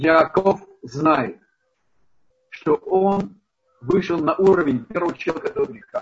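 A man with ordinary pitch variation speaks at a fairly slow pace. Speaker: rabbi teaching a Torah lesson. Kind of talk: lecture. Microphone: poor connection, bad sound.

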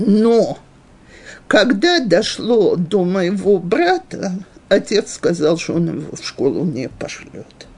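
Over noticeable background noise, a woman speaks at a very slow pace with lively intonation and big swings in loudness. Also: medium pitch for a woman. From Western Ukraine, Ivano-Frankivsk. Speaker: religious teacher for women. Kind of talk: lecture, personal life story. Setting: live class with audience, also streamed on video.

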